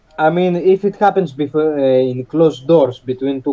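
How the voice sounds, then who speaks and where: Moderate-paced speech from a man with a fairly high voice, a non-native accent and ordinary pitch variation. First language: not English. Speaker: podcast panelist. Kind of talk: debate. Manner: halting, many fillers.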